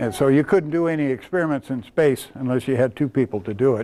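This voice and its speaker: A man with an American accent speaks fairly quickly at a fairly high pitch. His tone is dark and mellow, with ordinary pitch variation. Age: 70s. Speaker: retired rocket engineer. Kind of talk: talk to children's group. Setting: presentation to Cub Scouts. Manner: hesitant, many fillers.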